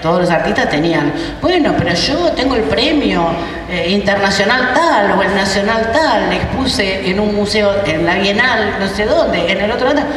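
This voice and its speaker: A woman speaks at a moderate pace with very wide pitch swings. There is audible room echo and noticeable background noise. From Argentina, Buenos Aires area. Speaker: university rector. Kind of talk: conference talk. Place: hall.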